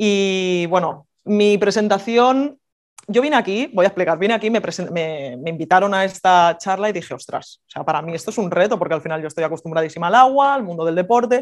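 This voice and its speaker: This is an ordinary speaking voice, moving at a fairly quick pace with lively intonation. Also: woman, medium pitch for a woman. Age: 30s. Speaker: water polo player. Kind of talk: talk to an audience. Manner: casual, informal.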